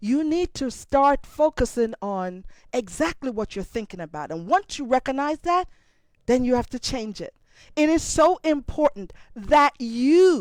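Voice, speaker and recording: A woman with a Jamaican accent speaks high and fairly slowly, with very wide pitch swings and big swings in loudness. The sound is dry and close, with no echo. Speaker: motivational speaker. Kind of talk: motivational talk.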